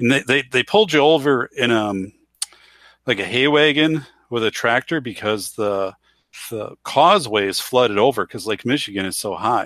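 A man with a plain, everyday voice speaks at a moderate pace and medium pitch, using lively intonation, in a dry, close sound with no echo. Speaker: panelist. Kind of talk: casual chat. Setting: video call.

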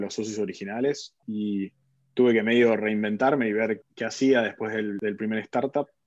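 A man with an Argentine accent and monotone, flat intonation. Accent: Argentine Spanish (Rioplatense). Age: 30s. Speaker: tech executive. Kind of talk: interview.

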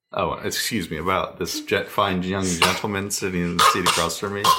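In a room with audible echo, a man with an American accent talks at a moderate pace. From US Northeast (New York / Pennsylvania). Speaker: parent podcast co-host. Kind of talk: casual chat.

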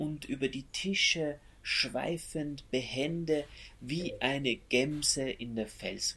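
Speaking at a very slow pace, a man uses a bright, sharp tone at a fairly high pitch. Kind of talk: poet reading a poem aloud over a soundscape. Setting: binaural recording with soundscape. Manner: slow, deliberate, measured pace with long pauses between lines.

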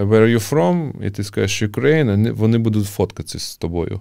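A man's fairly low voice with a dark, mellow tone at a moderate pace, on a very clean recording with a silent background. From Ukraine, Kharkiv. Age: 30s. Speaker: breakdance community founder. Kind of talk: casual interview. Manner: halting with fillers.

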